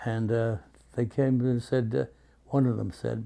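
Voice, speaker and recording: A man with a New York accent speaks at a moderate pace and medium pitch, his dark, mellow tone carrying fairly even intonation. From New York City, Brooklyn. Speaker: war veteran. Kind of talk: interview. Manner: halting.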